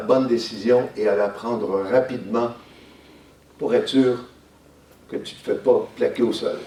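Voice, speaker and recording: A man talks at a very slow pace with audible room echo around him. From Quebec. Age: 70s. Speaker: lecturer. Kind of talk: school talk to pupils. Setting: school classroom.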